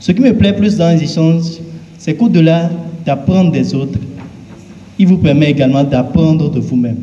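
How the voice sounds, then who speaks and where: A man talks at a moderate pace with a fairly high pitch and lively intonation. Both noticeable background noise and audible room echo come through. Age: 20s. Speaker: pageant contestant. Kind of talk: prepared self-presentation speech. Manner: formal.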